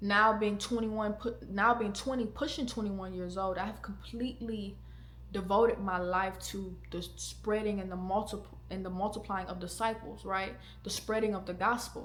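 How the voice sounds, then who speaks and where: Audible room echo fills the space. A woman talks at a moderate pace within it. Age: 20s. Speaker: podcast host. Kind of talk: casual chat; testimony. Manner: casual, conversational.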